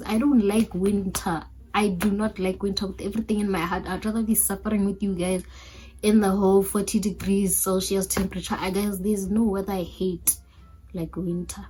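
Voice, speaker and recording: In an African accent, a woman's somewhat breathy, medium-pitched voice carries a dark, mellow tone and a monotone, flat intonation. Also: fairly quick pace. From Botswana. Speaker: YouTuber. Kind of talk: casual vlog chat.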